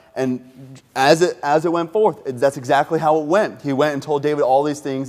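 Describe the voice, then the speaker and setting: Fairly high in pitch, this man keeps his intonation fairly even. He talks at a fairly quick pace. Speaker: associate pastor. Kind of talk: sermon. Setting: church. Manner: fast; casual, halting.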